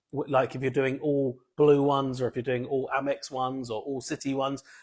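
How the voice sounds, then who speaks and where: A man's fairly high voice with a British accent. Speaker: travel points influencer. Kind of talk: live stream Q&A. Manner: animated.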